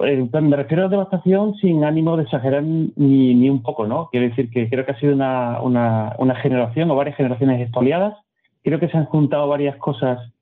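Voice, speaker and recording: Speaking at a fairly quick pace, a man keeps very even loudness with fairly high pitch and ordinary pitch variation. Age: 50s. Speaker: economist and philosopher. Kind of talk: interview. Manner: halting, repeats words.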